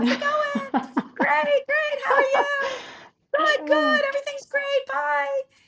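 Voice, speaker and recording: A woman speaks at a fairly slow pace in a put-on character voice, her loudness swinging widely. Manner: fake-friendly, chirpy.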